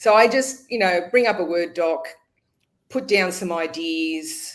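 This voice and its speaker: This woman has an Australian accent. Her pitch sits fairly low. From Australia (Sydney), southern Italian migrant family. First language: Italian. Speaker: author and editor. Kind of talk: interview.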